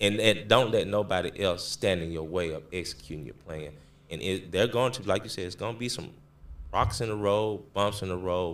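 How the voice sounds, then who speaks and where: A man speaks in a very deep, low pitch at a moderate pace. His pitch variation is ordinary, while his loudness swings widely. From Memphis, Tennessee. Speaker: clothing brand owner. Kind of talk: casual interview.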